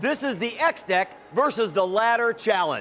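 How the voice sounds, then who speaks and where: A man talks at a moderate pace, his pitch swinging very widely. Music can be heard in the background. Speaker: TV host. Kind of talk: infomercial presentation.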